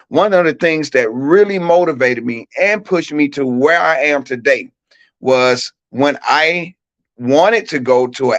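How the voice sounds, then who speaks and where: In a Southern US accent, the speaker goes at a fairly slow pace with ordinary pitch variation. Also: man. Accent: Southern country accent, kept. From US South, Mississippi (Shannon, near Tupelo). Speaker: track coach and educator. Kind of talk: talk show interview, personal story. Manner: casual, repeats words when speaking.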